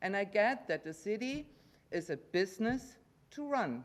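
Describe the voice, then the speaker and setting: Her pitch is medium, and she swings it very widely. The woman speaks at a fairly slow pace. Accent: German. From Germany. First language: German. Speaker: resident giving public comment. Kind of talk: public comment at council meeting. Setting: council chamber.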